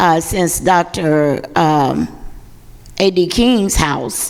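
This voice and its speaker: Loud and with very wide pitch swings, a woman with an Alabama accent speaks at a fairly low pitch over noticeable background noise. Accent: Southern US, Alabama. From US South, Birmingham, Alabama (Ensley). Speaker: pastor. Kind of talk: panel discussion.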